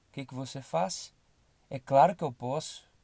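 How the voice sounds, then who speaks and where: In a very clean recording with a silent background, a man speaks at a moderate pace with fairly even intonation and a dark, mellow tone. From Brazil, Belo Horizonte. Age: 20s. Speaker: podcast host. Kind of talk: motivational monologue.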